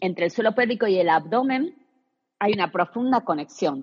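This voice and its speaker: In a plain, everyday voice, a woman talks at a moderate pace with lively intonation. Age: 40s. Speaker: personal trainer, pelvic floor specialist. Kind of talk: interview.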